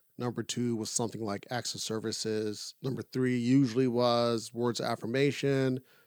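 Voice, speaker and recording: A man's normal speaking voice at a medium pitch, with ordinary pitch variation and a dry, close sound with no echo. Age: 30s. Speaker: podcast co-host. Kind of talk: casual chat.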